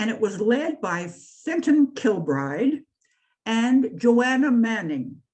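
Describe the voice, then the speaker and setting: With a Canadian accent, a woman with a fairly high voice speaks at a very slow pace. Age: 80s+. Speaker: activist and writer. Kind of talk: talk. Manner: halting.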